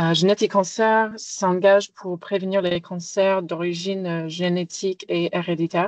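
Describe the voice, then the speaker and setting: With an American accent, a woman speaks at a fairly slow pace in a fairly low pitch and a monotone, flat intonation, the sound dry and close with no echo against a quiet background. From United States. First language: English (speaking French). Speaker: genomics researcher and cancer patient. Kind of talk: webinar presentation.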